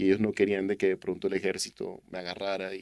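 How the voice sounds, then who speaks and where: This is a man talking. His pace is fairly quick. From Colombian Caribbean coast, Barranquilla. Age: 40s. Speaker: youth church leader and businessman. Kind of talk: testimony interview.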